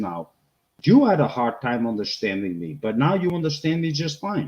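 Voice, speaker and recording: A man's medium-pitched voice with a Boston accent, very wide pitch swings and a moderate pace, against a quiet background. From Boston area, US. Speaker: homesteading channel co-host. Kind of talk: casual chat. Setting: live stream.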